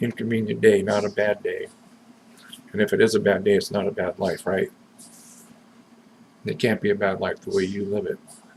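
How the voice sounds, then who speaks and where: At a fairly quick pace broken by long, frequent pauses, a man speaks in an American accent. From US West Coast, Southern California. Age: 60s. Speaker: vlogger. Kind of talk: personal video message. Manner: casual, halting.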